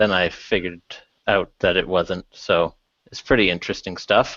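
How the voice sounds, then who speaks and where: A man speaks with a Canadian accent. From Canada. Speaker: tech speaker, PhD student. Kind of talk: talk to a meetup. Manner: hesitant, many fillers.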